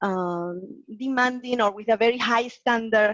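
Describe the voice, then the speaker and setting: A woman with a non-native accent speaks at a moderate pace and a fairly high pitch, with ordinary pitch variation and a dry, close sound with no echo. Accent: foreign accent, noticeable. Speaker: guest lecturer on presentation skills. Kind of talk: webinar Q&A answer.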